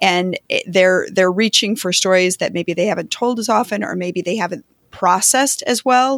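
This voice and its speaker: An ordinary speaking voice comes through at a moderate pace with ordinary pitch variation, in a dry, close sound with no echo and a very clean recording with a silent background. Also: woman, medium pitch for a woman. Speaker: podcast host. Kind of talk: casual interview.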